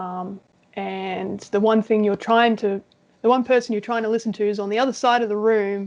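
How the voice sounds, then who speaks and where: Speaking with an Australian accent, a woman keeps a moderate pace with a fairly high pitch and monotone, flat intonation. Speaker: interviewee with ADHD. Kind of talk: casual interview chat.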